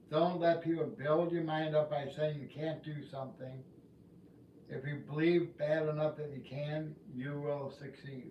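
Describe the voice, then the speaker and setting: A man's fairly high, monotone voice with flat intonation at a fairly slow pace, in audible room echo. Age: 60s. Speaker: community livestreamer and student. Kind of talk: casual livestream monologue. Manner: halting, with fillers.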